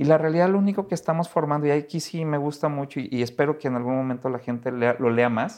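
In a Mexico City accent, the speaker moves at a fairly quick pace with ordinary pitch variation against a quiet background. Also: man. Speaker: economist. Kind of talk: casual interview.

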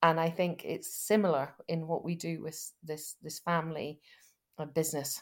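In a Scottish accent, a woman speaks with fairly low pitch at a moderate pace, her intonation monotone and flat and her loudness swinging widely, on a very clean recording with a silent background. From Scotland, West Fife. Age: 50s. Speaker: rural business lawyer. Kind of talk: interview. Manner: halting.

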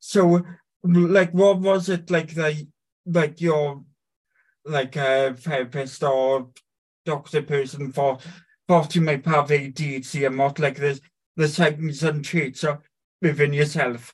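A man talks at a very slow pace with long, frequent pauses. His voice is somewhat breathy and fairly high in pitch, with fairly even intonation. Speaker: podcast host interviewer. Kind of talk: casual interview.

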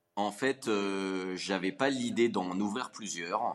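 A man speaks in a normal speaking voice, fairly low in pitch and with fairly even intonation. The background is quiet. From Paris region, France. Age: 30s. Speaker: business founder. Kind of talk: interview.

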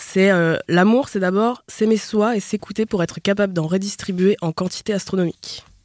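A woman with a normal speaking voice and medium pitch talks at a moderate pace with hardly any pauses, her intonation fairly even and the sound dry and close with no echo. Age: 20s. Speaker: podcast guest. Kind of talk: casual chat.

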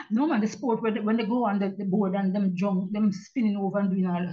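A woman's somewhat breathy, medium-pitched voice at a fairly quick pace with fairly even intonation. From Jamaica (Kingston). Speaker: retired journalist and author. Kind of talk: interview.

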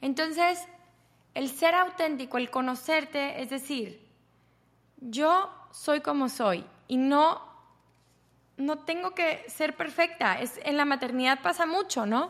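A woman speaks at a high pitch and a very slow pace. Long, frequent pauses break up her speech. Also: lively intonation. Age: 30s. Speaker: podcast host, yoga and self-development teacher. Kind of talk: solo podcast talk on self-knowledge.

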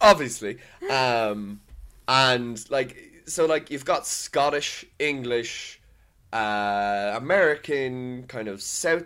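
Heard in a very clean recording with a silent background, a man with a Dublin accent speaks at a fairly slow pace in a medium pitch, with a bright, sharp tone and ordinary pitch variation. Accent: Dublin Irish. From Ireland, Dublin. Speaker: podcast co-host. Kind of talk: casual chat.

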